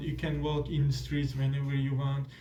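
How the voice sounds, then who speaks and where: With audible room echo, a man speaks in a Turkish accent. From Turkey. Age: 20s. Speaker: exchange student. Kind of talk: casual interview. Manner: halting, many fillers.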